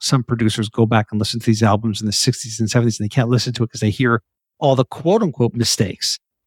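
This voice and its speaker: A somewhat breathy man at a medium pitch, talking at a very fast pace with fairly even intonation, in a dry, close recording with no echo and a very clean, silent background. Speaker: podcast host. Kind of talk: casual interview.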